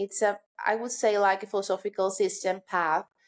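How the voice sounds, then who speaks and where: In a very clean recording with a silent background, a woman talks at a medium pitch with a Greek accent. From Greece, island of Kos. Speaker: yoga instructor. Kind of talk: podcast interview.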